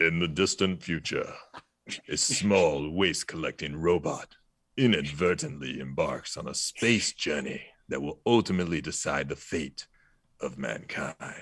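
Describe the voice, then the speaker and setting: Putting on a character voice with a dramatic tone, a man speaks at a moderate pace in a very deep, low pitch. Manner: dramatic, deep, epic.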